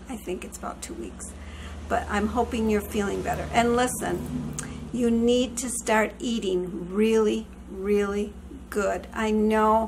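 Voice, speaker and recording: A woman talks at a fairly slow pace, with big swings in loudness. Noticeable background noise sits behind her. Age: 60s. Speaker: vlogger. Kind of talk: casual chat. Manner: chatty, warm.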